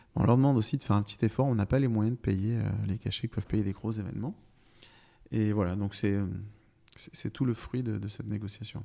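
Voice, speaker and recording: A man's dark, mellow voice, fairly low in pitch, fairly even in intonation, moving at a fairly quick pace between long, frequent pauses. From France, Brive-la-Gaillarde (Corrèze). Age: 40s. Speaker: festival director. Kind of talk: interview conversation. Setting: apartment in city centre.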